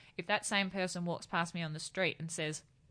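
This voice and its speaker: Over a quiet background, a woman with an Australian accent speaks at a fairly quick pace and fairly low pitch, with ordinary pitch variation and a bright, sharp tone. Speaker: beauty writer and influencer. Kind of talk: casual chat. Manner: dry, even tone regardless of excitement.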